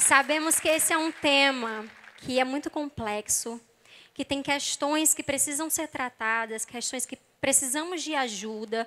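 A woman with a Brazilian accent uses a raised, projected voice that is high-pitched with a bright, sharp tone. She goes at a fairly slow pace with ordinary pitch variation. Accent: non-Rio Brazilian, somewhat drawled. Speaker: psychologist and preacher. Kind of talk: sermon.

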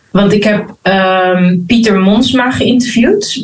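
This woman's pitch moves up and down in an ordinary way as she talks. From Netherlands, Rotterdam. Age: 30s. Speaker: spiritual leadership mentor and author. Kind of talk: interview. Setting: video call.

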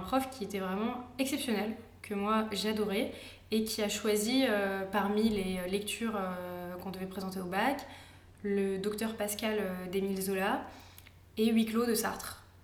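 A woman talks at a medium pitch and a fairly slow pace, with fairly even intonation. Noticeable background noise and audible room echo fill the recording. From France. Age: 20s. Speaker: architecture student. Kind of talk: casual interview. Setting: at her home.

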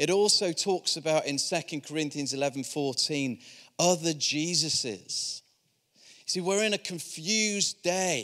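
A man with a Yorkshire accent speaks at a very slow pace with fairly high pitch. His tone is bright and sharp, on a very clean recording with a silent background. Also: ordinary pitch variation. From Yorkshire, northern England. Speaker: visiting preacher from a charity. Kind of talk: sermon. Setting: church service with congregation.

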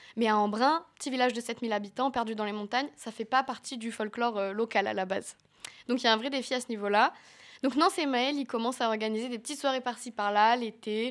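In a very clean recording with a silent background, a woman with a fairly high pitch speaks at a very fast pace. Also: ordinary pitch variation. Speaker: radio columnist. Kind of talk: radio chronicle.

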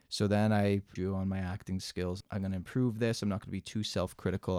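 A man with a Canadian accent speaks at a fairly quick pace in a very deep, low, flat monotone. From Mississauga, Ontario, Canada. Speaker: firefighter. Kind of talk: casual interview.

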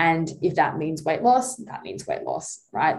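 Lively intonation and a fairly quick pace mark this speech with an Australian accent. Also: woman. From Tasmania, Australia. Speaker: dietitian. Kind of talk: casual chat.

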